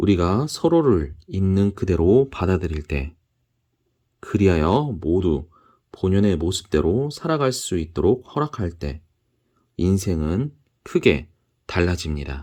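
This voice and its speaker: A man speaks very slowly with a calm, dark, mellow tone and a very deep, low pitch, leaving long, frequent pauses. His pitch swings very widely against a quiet background. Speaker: audiobook reader. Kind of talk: book reading. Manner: calm, soft-spoken.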